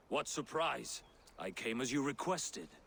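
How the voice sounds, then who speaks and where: A man's raspy, put-on character voice at medium pitch and a moderate pace. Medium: video game. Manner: plain, easygoing.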